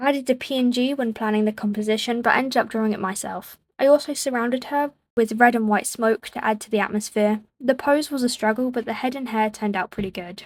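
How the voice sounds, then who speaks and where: A woman speaks at a very fast pace and a fairly high pitch with ordinary pitch variation. The recording is very clean, with a silent background. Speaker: digital artist. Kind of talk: casual art commentary voiceover. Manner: stuttering, mixing up words.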